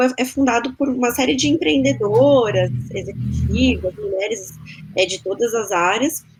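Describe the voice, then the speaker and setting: With a São Paulo accent, a woman speaks at a moderate pace and a fairly high pitch over noticeable background noise. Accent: Brazilian Portuguese, paulistano. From Brazil, São Paulo. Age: 30s. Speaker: marketing executive. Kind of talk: interview.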